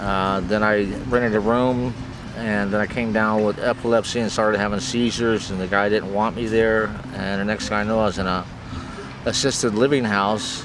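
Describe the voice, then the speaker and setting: A man speaks with an American accent and fairly low pitch. Noticeable background noise runs underneath. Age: 50s. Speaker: homeless person being interviewed. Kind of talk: interview answer. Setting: outdoors in a park.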